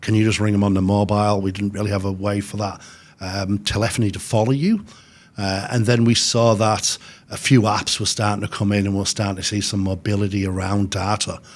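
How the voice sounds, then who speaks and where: Here a man speaks in a monotone, flat intonation. His pitch is fairly low. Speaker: technology company sales director. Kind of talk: podcast interview. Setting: studio at host's offices. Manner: hesitant, many fillers.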